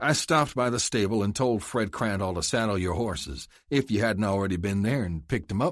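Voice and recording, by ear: The pitch varies in an ordinary way. The text is read aloud in a natural voice.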